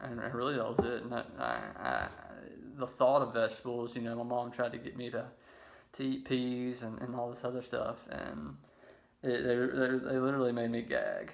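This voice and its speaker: With a Mississippi accent, a man speaks at a medium pitch. His pace is moderate and his intonation fairly even. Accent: Southern US (Mississippi). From Laurel, Mississippi. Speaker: raw vegan lifestyle vlogger. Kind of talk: casual personal story to camera.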